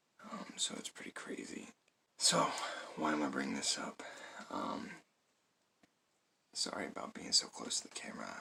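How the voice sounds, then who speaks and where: A man whispering at a moderate pace, with long, frequent pauses and big swings in loudness. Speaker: product reviewer. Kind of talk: casual vlog talk to camera. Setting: at home, close to camera. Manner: hesitant, many fillers.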